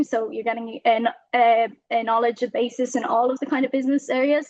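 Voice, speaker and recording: The speaker is a woman with an Irish accent. Her voice sits high in pitch. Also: dry, close sound with no echo. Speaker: university student. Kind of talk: presentation. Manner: fast.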